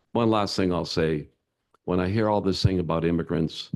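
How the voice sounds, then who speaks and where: A man speaks with a very deep, low pitch and vocal fry. The background is quiet. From Denmark, raised in Canada. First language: Danish. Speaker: company founder and CEO. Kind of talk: onstage interview. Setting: stage with audience.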